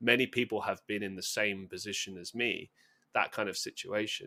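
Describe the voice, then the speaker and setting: The speaker is a man with a London accent. The recording is very clean, with a silent background. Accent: southern English (London). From London, England. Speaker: podcast guest, musician and content creator. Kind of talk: casual interview chat. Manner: fast.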